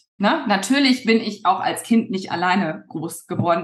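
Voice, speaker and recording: A woman is speaking. Her pace is moderate. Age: 40s. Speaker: weight loss coach. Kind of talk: casual interview. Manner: hesitant with many fillers.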